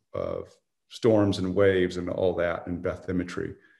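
A man is speaking. His voice is somewhat breathy. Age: 60s. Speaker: surfing historian. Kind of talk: casual chat. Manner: halting.

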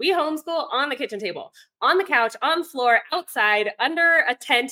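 Her pitch swings very widely as this woman speaks in an American accent. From Virginia, US South. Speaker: homeschooling mom and online teacher. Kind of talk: interview chat.

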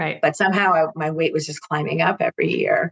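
Her voice very deep and low, a woman talks at a fairly quick pace. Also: dry, close sound with no echo. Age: 50s. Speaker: marketing professional and client. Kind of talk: casual chat.

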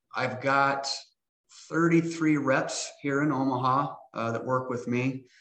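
With an American accent, the speaker talks at a very slow pace with fairly even intonation. Room echo is audible. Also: man. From Nebraska, US Midwest. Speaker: health insurance agent. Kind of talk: casual interview.

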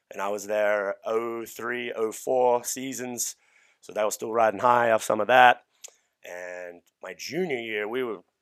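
A man with an Australian accent, medium pitch and fairly even intonation. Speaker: strength coach. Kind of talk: casual chat. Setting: studio.

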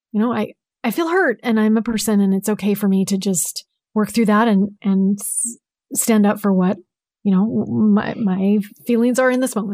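Soft-spoken with a dark, mellow tone, a woman talks at a moderate pace and a fairly high pitch, her intonation fairly even. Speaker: podcast co-host, guest.

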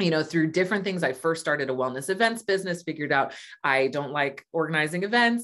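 A woman speaks with a Californian accent. Her pitch sits fairly low. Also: very clean recording, silent background. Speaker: astrologer and business coach. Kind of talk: interview conversation.

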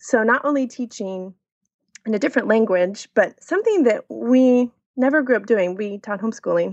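This woman has an ordinary speaking voice with ordinary pitch variation and big swings in loudness. The sound is dry and close with no echo. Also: fairly high pitch for a woman. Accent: American. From Texas, Dallas and New Braunfels. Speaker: expat mother. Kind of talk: casual interview.

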